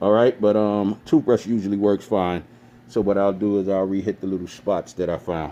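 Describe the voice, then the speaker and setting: Dark and mellow in tone, a man's voice sits fairly low. He keeps a moderate pace and fairly even intonation. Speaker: DIY tutorial maker. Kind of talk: tutorial. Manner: casual, hesitant with fillers.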